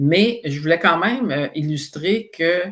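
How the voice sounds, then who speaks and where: A man's high voice at a fairly slow pace, with ordinary pitch variation. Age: 60s. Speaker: psychoeducation expert, author. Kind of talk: interview podcast.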